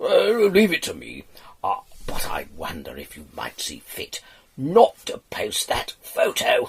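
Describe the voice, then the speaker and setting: A fairly slow put-on character voice from a man. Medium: read story.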